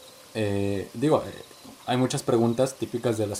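This man has an unremarkable speaking voice at medium pitch. His intonation stays fairly even. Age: 20s. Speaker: podcast host. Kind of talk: casual chat.

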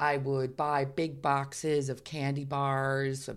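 In a very clean recording with a silent background, a woman with a New York accent speaks at a very deep, low pitch. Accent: New York American. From New York, US. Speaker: fragrance company co-founder. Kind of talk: interview. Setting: in person in Melbourne.

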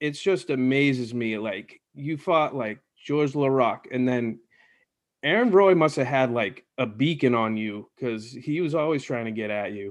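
A man with a plain, everyday voice and a medium pitch speaks at a fairly slow pace with an American accent and ordinary pitch variation against a quiet background. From Boston. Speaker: podcast host. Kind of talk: casual chat.

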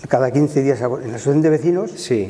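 Over noticeable background noise, a man with a fairly high pitch talks using ordinary pitch variation. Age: 70s. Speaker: retired primary school teacher. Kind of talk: casual interview.

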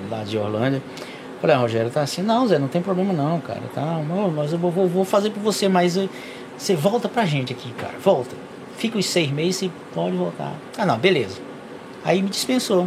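A man speaks high in pitch at a moderate pace, with very wide pitch swings. Long, frequent pauses break his speech over noticeable background noise. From Brazil, Piauí (Valença do Piauí). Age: 40s. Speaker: truck driver. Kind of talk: casual interview.

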